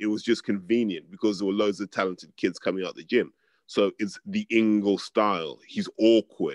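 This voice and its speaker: With a London accent, a man talks in a fairly low pitch with hardly any pauses, over a quiet background in a dry sound with no echo. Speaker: boxing pundit. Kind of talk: casual chat. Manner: articulate. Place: home room. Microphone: webcam.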